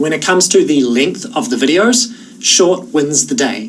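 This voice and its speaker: A man with a New Zealand accent at a moderate pace, his pitch swinging very widely, with noticeable background noise. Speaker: online course instructor. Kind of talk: tutorial. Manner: casual.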